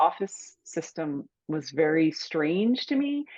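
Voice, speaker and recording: A woman's fairly low voice with an American accent and lively intonation. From Cape Cod, Massachusetts. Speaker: author and writing coach. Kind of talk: interview, dream discussion. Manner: halting.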